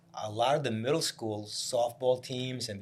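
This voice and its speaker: A man speaks with an American accent. His voice is somewhat breathy, at a medium pitch. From New Jersey, Piscataway. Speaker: real estate broker. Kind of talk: casual chat.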